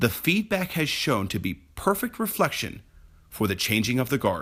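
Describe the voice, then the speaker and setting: A man's fairly high voice with vocal fry and very wide pitch swings, at a moderate pace, in a very clean recording with a silent background. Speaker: real estate professional. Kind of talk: personal essay reading.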